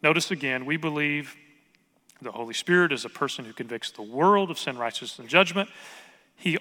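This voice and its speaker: A man's bright, sharp tone with a slight Southern US accent and ordinary pitch variation. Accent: slight southern US drawl. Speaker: pastor. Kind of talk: sermon.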